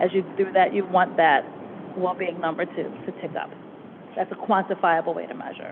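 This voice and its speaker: Monotone, flat intonation in a slight Boston accent, with big swings in loudness and noticeable background noise. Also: woman, medium pitch for a woman, moderate pace. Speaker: consultant. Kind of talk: presentation Q&A.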